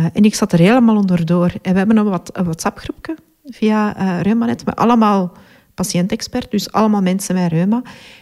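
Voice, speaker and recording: A woman speaks at a medium pitch with a dark, mellow tone and ordinary pitch variation. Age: 40s. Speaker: patient with chronic illness. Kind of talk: testimony. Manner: hesitant, many fillers.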